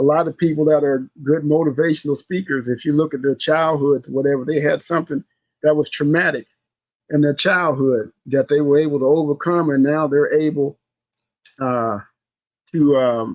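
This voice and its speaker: A man with an ordinary speaking voice and an American accent talks at a moderate pace, his pitch fairly high for a man. His intonation stays fairly even, and the sound is dry and close with no echo. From US Midwest, St. Louis. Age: 60s. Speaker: podcast host. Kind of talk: casual solo podcast talk. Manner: conversational, repetitive with fillers.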